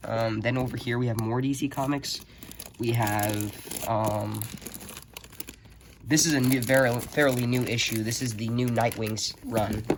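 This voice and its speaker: Over noticeable background noise, a man speaks at a fairly slow pace in a monotone, flat intonation with long, frequent pauses. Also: medium pitch for a man. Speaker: comic book fan YouTuber. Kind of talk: casual talk to camera.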